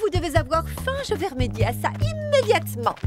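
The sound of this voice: In a cartoonish character voice at an extremely high pitch, a woman speaks at a fairly quick pace with very wide pitch swings as clear music plays behind her.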